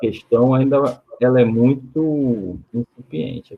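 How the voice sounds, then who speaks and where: The speaker is a man with a medium pitch. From São Paulo state, Santos. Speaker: researcher, panel participant. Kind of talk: online panel discussion. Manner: calm; halting, many repetitions.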